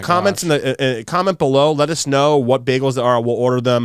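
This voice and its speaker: Over noticeable background noise, a man speaks at a very fast pace. His pitch is fairly high. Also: ordinary pitch variation. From New York. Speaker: podcast host. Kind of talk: casual podcast talk.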